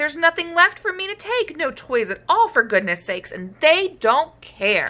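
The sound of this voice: Using a put-on character voice, a woman speaks at a fairly slow pace in a high pitch, with a bright, sharp tone and big pitch swings.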